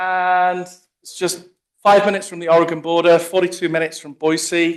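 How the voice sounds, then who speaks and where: A man speaks with an English accent. His pitch is high. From England. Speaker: plant pathologist. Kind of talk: conference talk. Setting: meeting room with audience.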